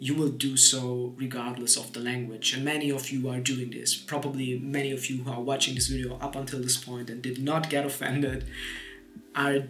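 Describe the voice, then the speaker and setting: A man with a non-native accent talks at a fairly quick pace in a medium pitch, his intonation flat and monotone, with music playing in the background. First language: Polish. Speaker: YouTuber. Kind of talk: casual talk to camera.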